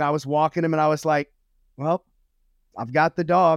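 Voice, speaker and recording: A man speaks at a fairly high pitch with monotone, flat intonation. The recording is very clean with a silent background and a dry, close sound with no echo. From Louisiana, US South. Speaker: motivational speaker and former pastor. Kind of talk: casual interview chat.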